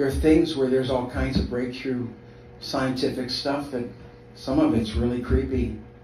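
Amid audible room echo and light background noise, a man with a medium pitch and fairly even intonation talks at a moderate pace, with long, frequent pauses. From South Africa. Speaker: pastor. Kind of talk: sermon. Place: home room.

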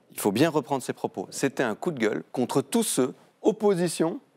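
The background is quiet. At a fairly quick pace, a man speaks with very wide pitch swings. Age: 40s. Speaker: member of parliament; guest. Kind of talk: televised political debate. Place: studio. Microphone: lapel.

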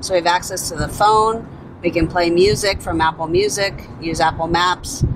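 A woman with a fairly low pitch speaks with fairly even intonation against noticeable background noise. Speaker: car owner demonstrating features. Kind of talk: tutorial. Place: car.

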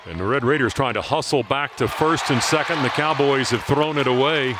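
Spoken at a fairly quick pace with ordinary pitch variation, the voice sits over crowd noise in the background. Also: man. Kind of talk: live baseball play-by-play commentary. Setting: baseball stadium broadcast. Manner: dramatic, building to a climax at the finish.

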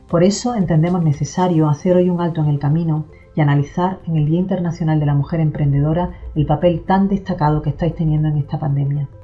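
A woman's very fast speech at a very deep, low pitch, with fairly even intonation and faint music in the background. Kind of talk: formal address. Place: office. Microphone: camera far.

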